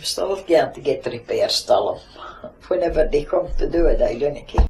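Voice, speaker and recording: A woman speaks in a Shetland accent against noticeable background noise. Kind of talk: oral history interview answer.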